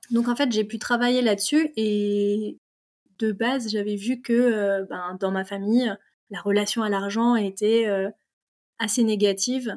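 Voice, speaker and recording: A woman talks at a fairly slow pace in a fairly high pitch, with fairly even intonation. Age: 30s. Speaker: mechanical engineer and property investor. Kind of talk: casual interview chat. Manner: hesitant, many fillers.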